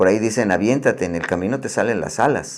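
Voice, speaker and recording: A man speaks in a central Mexican accent with a fairly low pitch. His intonation is lively. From Mexico City. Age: 60s. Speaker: painter and art teacher. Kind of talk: interview. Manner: halting, many fillers and repetitions.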